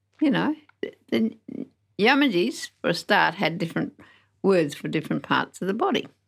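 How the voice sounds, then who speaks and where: A woman of medium pitch speaks at a moderate pace with vocal fry, very wide pitch swings and long, frequent pauses, on a very clean recording with a silent background. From Western Australia, Narrogin in the Southwest. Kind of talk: interview, life story. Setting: studio.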